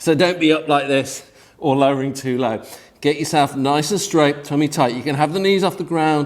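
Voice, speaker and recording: With a British accent, a man speaks at a fairly high pitch. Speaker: fitness instructor. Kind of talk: workout instruction. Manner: fast; energetic, encouraging.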